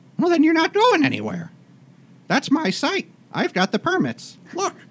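Here a man puts on a character voice at a moderate pace. His pitch is extremely high. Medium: actual play. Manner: stammering, possessive.

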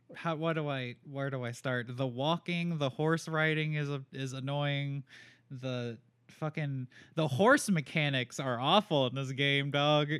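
With an American accent and a normal speaking voice, a man talks fairly slowly at a fairly high pitch, his intonation fairly even. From North Carolina, Raleigh. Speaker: podcast co-host. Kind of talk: casual chat.

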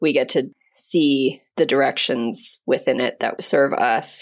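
Fairly slow speech with an American accent on a very clean recording with a silent background. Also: woman. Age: 30s. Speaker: science journalist. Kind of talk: casual chat.

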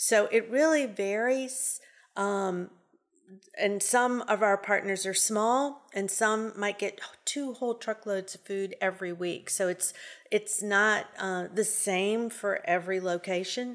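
A woman with a New Orleans accent, medium pitch, fairly even intonation and a very slow pace, in a very clean recording with a silent background. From New Orleans, Louisiana. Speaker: food bank executive director. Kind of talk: interview.

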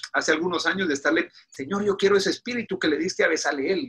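High-pitched for a man, his bright, sharp voice is raised and projected. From Guatemala. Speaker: pastor. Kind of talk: interview. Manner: halting.

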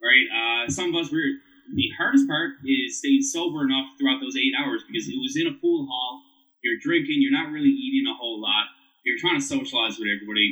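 A man with a Newfoundland accent talks fairly quickly in a high voice, his pitch swinging very widely. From Newfoundland, Canada (St. John's). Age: 30s. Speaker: whiskey brand ambassador and bartender. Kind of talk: casual chat.

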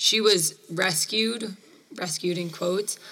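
A woman's fairly low voice holds a fairly even intonation against noticeable background noise. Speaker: podcast host. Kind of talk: casual chat.

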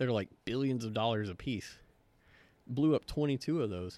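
Speaking at a fairly quick pace with ordinary pitch variation and an American accent, this is an ordinary speaking voice on a very clean recording with a silent background. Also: man. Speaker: veteran. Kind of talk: casual chat.

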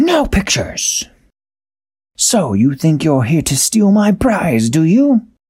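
Putting on a character voice, a man talks at a fairly slow pace with a high pitch and very wide pitch swings. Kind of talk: bedtime story, comic villainy. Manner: boastful, sneering, gloating.

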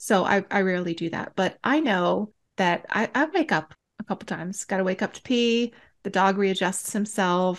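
A woman talks at a moderate pace in a normal speaking voice, medium in pitch with ordinary pitch variation. The background is quiet. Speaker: podcast co-host. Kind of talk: casual chat.

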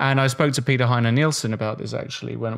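Medium-pitched male voice with an English accent and fairly even intonation, on a very clean recording with a silent background. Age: 30s. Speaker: chess international master. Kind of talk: casual chat.

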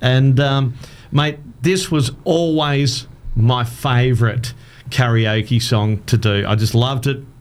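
At a very slow pace, a man talks at medium pitch with ordinary variation and very even loudness. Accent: Australian. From Adelaide, South Australia. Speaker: radio presenter and former karaoke business owner. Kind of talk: casual chat. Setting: studio.

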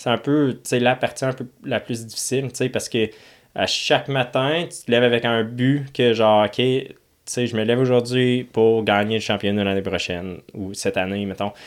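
A man talks at a moderate pace and medium pitch. It is an ordinary speaking voice with ordinary pitch variation. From Ontario, Canada. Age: 20s. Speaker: professional motocross racer. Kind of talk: casual interview. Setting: studio.

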